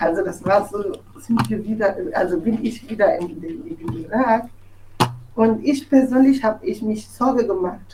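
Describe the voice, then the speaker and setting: The tone is dark and mellow, and somewhat breathy. Intonation is lively and the pace is moderate. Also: woman, fairly high pitch for a woman. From Togo. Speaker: journalist. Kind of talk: personal testimony. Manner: halting, with fillers and restarts.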